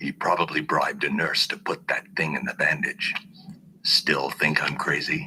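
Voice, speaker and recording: A man puts on a cartoonish character voice, speaking at a moderate pace. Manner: gruff, commanding.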